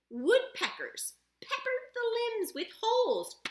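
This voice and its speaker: A woman's put-on character voice, squeaky and extremely high, gentle in tone, at a fairly slow pace. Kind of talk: classroom read-aloud. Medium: read story. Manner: gentle, expressive, explanatory.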